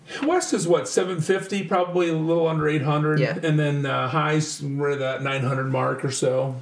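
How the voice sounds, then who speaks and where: A man's fairly high voice at a fairly slow pace with hardly any pauses, amid audible room echo and noticeable background noise. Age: 40s. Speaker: school district superintendent. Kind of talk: casual interview. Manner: animated.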